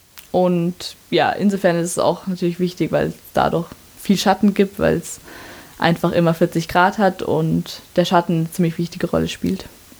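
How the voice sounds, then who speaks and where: A woman with a fairly low pitch speaks at a moderate pace, with vocal fry. Her intonation is monotone and flat. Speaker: university student. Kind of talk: interview.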